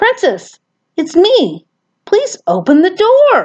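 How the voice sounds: Very slow delivery in a put-on character voice. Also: woman.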